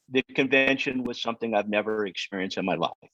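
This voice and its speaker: The sound is dry and close, with no echo. A man talks at a fairly quick pace. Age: 60s. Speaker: health coach, workshop participant. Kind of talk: audience question in online workshop.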